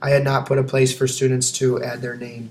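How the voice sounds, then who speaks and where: A man's medium-pitched, somewhat breathy voice at a very fast pace, in a monotone, flat intonation. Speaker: teacher. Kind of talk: video presentation. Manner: hesitant with frequent fillers.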